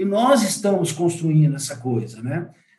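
A man with lively intonation at a moderate pace, with audible room echo. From Brazil, São Paulo city. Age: 50s. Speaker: business founder in tourism real estate. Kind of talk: interview. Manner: hesitant, many fillers.

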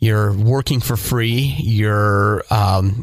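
Somewhat breathy, a man at medium pitch talks at a very slow pace. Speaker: podcast host and radio broadcaster. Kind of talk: casual chat.

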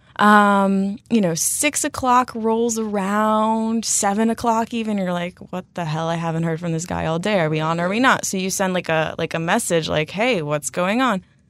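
On a very clean recording with a silent background, a woman with a North American accent talks at a moderate pace with hardly any pauses, medium pitch, ordinary pitch variation and an ordinary speaking voice. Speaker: anonymous blogger. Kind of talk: casual chat.

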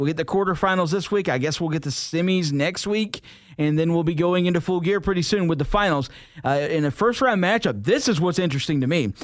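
With an American accent, a high-pitched man talks very fast, keeping his loudness very even and his pitch variation ordinary. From US South. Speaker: wrestling podcast host. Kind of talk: casual chat.

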